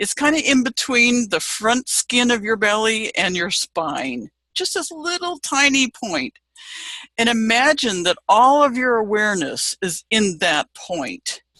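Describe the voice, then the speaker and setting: Bright and sharp in tone, a woman speaks slowly with a fairly high pitch and very wide pitch swings, in a dry, close sound with no echo. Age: 70s. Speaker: business coach. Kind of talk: casual video talk with guided visualization. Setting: Facebook live video.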